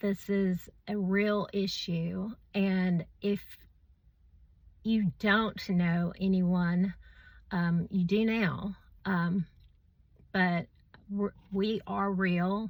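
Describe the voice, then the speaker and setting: Speaking at a very slow pace with long, frequent pauses, a woman uses a medium pitch, a somewhat breathy voice and monotone, flat intonation. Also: very even loudness. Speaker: vaccine-injured person sharing her story. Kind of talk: personal testimony video. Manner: halting, many fillers.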